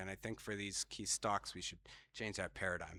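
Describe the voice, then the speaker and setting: On a very clean recording with a silent background and a dry, close sound with no echo, a man with an American accent speaks at a fairly quick pace in a bright, sharp tone. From US, west coast of Florida. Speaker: fisheries scientist, conference speaker. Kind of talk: conference talk.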